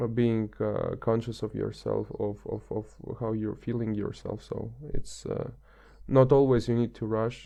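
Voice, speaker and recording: A man with a non-native accent at a fairly slow pace. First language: not English. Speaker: podcast guest. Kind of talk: casual chat. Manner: halting, many fillers.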